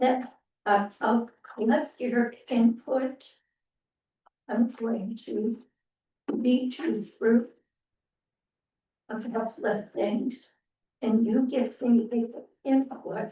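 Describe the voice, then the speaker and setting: With a dark, mellow tone and a fairly high pitch, a woman speaks at a very slow pace with long, frequent pauses. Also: fairly even intonation. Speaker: committee chair. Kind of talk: public meeting discussion. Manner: loud.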